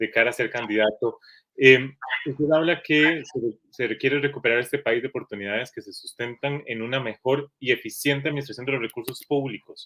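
At a moderate pace, a man speaks in an ordinary speaking voice with a medium pitch and ordinary pitch variation. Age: 30s. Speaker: interviewer, editor. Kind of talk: political interview.

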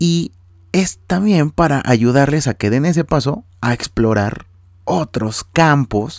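The speaker is a man with a Mexican accent and a fairly high pitch. His pitch swings very widely. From Mexico. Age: 30s. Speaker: podcast host, architect. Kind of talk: solo podcast monologue, casual.

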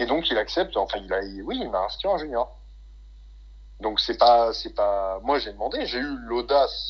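A man at a moderate pace. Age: 20s. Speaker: bodybuilder and fitness coach. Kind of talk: casual interview.

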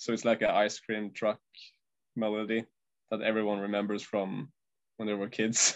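A man's flat, monotone delivery at a moderate pace, broken by long, frequent pauses. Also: fairly low pitch for a man. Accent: Norwegian. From Norway. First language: Norwegian. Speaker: metal band guitarist. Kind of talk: interview. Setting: video call. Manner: halting.

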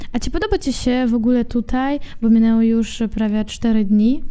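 At a moderate pace, a woman with a fairly high pitch uses a plain, everyday voice. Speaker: podcast host. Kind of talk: interview.

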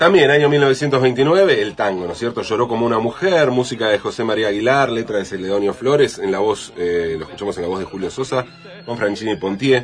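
A man talks at a fairly quick pace with lively intonation and medium pitch. Noticeable background noise runs underneath. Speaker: radio columnist. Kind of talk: radio segment on tango lyrics.

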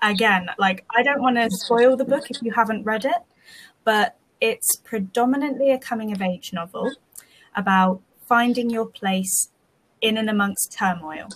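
Someone with a British accent speaks at a moderate pace in a somewhat breathy voice with ordinary pitch variation. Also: woman, fairly high pitch for a woman. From UK. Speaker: podcast co-host. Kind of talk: casual chat. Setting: remote recording.

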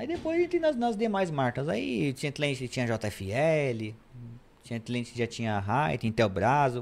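A man with a plain, everyday voice speaks at a medium pitch. He goes at a fairly slow pace with lively intonation. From São Paulo, Brazil. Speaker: electronic security specialist. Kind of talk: podcast interview. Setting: studio.

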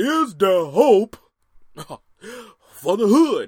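Putting on a character voice, a man speaks at an extremely high pitch with very wide pitch swings. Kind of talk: oratorical. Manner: preacher-like.

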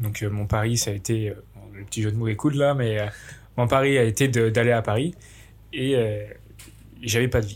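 At a moderate pace and medium pitch, a somewhat breathy man talks with fairly even intonation and long, frequent pauses. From France, Bourg-en-Bresse area (Ain). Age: 20s. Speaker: student apprentice in sports marketing. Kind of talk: casual chat.

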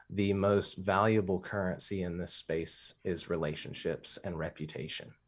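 At a fairly slow pace, a man with an American accent, a fairly low pitch and fairly even intonation speaks in an unremarkable speaking voice, recorded very cleanly against a silent background. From Louisiana, US South. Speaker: podcast panelist. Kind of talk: casual chat.

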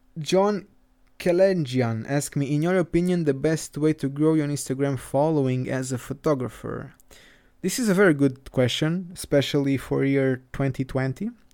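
A man speaks at a moderate pace with a fairly high pitch. His tone is dark and mellow. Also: ordinary pitch variation. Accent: Portuguese. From southern Portugal. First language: Portuguese. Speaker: photographer. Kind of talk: solo podcast monologue. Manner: casual, laughs often.

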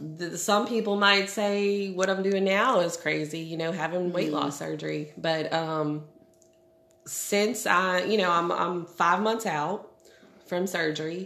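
A woman with a fairly low pitch, fairly even intonation and a fairly slow pace, in audible room echo. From New Orleans. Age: 30s. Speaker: stay-at-home mom. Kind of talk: casual chat.

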